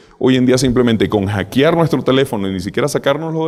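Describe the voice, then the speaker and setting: This man talks at a very fast pace with a medium pitch and ordinary pitch variation. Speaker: cybersecurity speaker. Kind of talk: conference talk.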